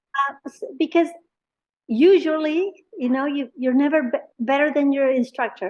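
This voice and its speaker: With a Spanish accent, a woman talks at a moderate pace with ordinary pitch variation. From Mexico, Monterrey. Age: 60s. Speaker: painter. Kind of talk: interview. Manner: halting.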